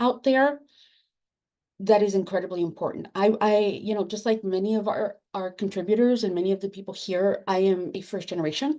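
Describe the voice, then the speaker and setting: In a Spanish accent, this voice has a dark, mellow tone, a moderate pace and ordinary pitch variation. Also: woman. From Latin America, immigrant to the US. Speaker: academic librarian and book editor. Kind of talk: panel discussion. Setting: webinar. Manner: hesitant, with fillers and repeated words.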